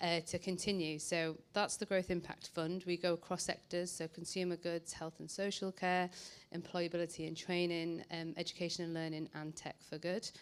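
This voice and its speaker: With a northern English accent, a woman speaks at a fairly low pitch in a monotone, flat intonation. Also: moderate pace. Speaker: social investor. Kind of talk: panel presentation.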